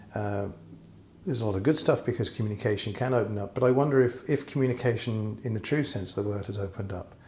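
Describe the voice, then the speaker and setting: This man talks at a very fast pace with a medium pitch. His voice is somewhat breathy. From England. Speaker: interviewer. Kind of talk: interview question.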